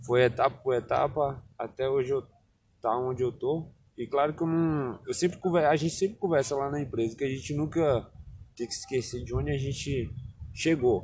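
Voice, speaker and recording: At a moderate pace, a man talks in a fairly high pitch that is somewhat breathy, with ordinary pitch variation. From Bahia, Brazil (Barreiras; born in Alagoas). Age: 20s. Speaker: interviewee, local resident. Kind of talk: casual interview. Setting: outdoors in a town square.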